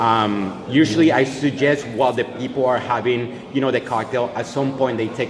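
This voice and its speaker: A man talks at a moderate pace, with noticeable noise in the background. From Colombia. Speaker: head bartender. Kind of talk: interview, explaining cocktails. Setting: hotel bar. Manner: loud.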